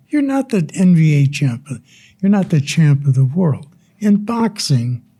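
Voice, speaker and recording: A man with a fairly high pitch and a dark, mellow tone talks at a fairly slow pace, his loudness very even while his pitch swings very widely. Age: 80s+. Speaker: retired boxing figure. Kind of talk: casual interview chat.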